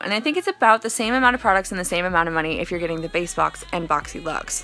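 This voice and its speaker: A woman at a medium pitch, talking at a very fast pace with lively intonation, over noticeable background noise. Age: 20s. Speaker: beauty vlogger. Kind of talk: casual chat. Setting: home basement. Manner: stuttering.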